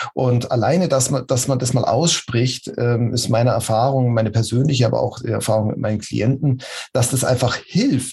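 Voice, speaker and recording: A man speaks at a moderate pace and medium pitch, with ordinary pitch variation. His voice is somewhat breathy. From Munich, Bavaria. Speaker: agile coach. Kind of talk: interview. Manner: halting.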